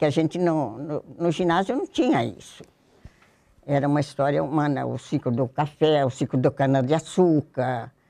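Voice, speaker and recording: Over a quiet background, the voice has a dark, mellow tone, ordinary pitch variation and a moderate pace. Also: woman. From Brazil, São Paulo state (Jundiaí); São Paulo state, Brazil. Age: old. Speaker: retired former student sharing memories. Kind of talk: oral history interview. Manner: halting, with repetitions. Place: studio. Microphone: lapel.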